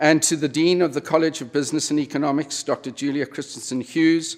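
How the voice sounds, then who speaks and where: A man with a South African accent speaks at a fairly quick pace and a fairly high pitch. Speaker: retired business executive, honorary degree recipient. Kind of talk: convocation speech. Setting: university convocation ceremony with audience.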